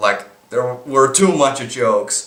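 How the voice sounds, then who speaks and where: There is audible room echo around the speaker. He is a man with a Finnish accent. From Finland. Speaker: movie reviewer vlogger. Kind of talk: casual vlog review. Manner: halting, with repetitions and false starts.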